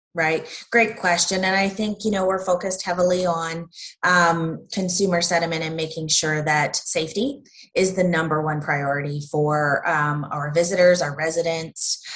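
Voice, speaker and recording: A woman speaks at a fairly low pitch and a moderate pace. Her intonation stays fairly even. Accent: Canadian. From Ontario, Canada (Peterborough County). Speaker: tourism director. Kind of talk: interview.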